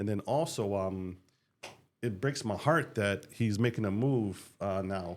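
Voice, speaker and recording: This man talks in an American accent at a fairly slow pace, his fairly low pitch showing ordinary variation. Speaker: podcast host, retired military diplomat. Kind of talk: interview podcast. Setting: studio with microphone.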